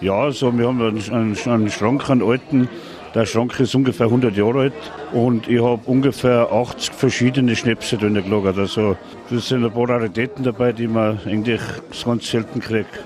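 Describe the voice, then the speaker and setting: A man with a strong Tyrolean accent talks at a moderate pace and medium pitch, with fairly even intonation. His loudness stays very even over noticeable background noise. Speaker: brewpub landlord. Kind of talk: interview. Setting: restaurant.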